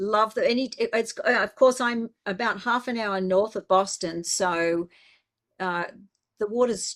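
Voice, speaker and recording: A fairly slow delivery in an Australian accent, with ordinary pitch variation and a very clean recording against a silent background. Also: woman. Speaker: biblical scholar. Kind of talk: casual chat.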